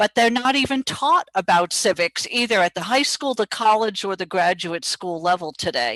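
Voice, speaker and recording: A woman speaks at a moderate pace in an ordinary speaking voice, fairly high in pitch. Her intonation is lively, and the sound is dry and close with no echo. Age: 60s. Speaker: political talk show co-host. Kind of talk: political talk show interview.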